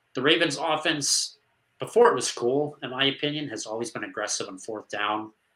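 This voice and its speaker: Talking at a fairly quick pace, an unremarkable speaking voice shows lively intonation and big swings in loudness. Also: man, fairly high pitch for a man. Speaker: sports podcast host. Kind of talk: casual sports analysis chat.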